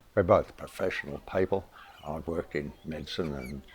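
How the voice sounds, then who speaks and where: In an Australian accent, a man talks with a very deep, low pitch and fairly even intonation. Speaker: retired climate activist. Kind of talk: interview.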